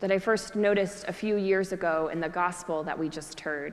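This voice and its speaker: At a moderate pace, a woman talks in a plain, everyday voice of medium pitch with ordinary pitch variation. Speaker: Episcopal priest. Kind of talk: church sermon.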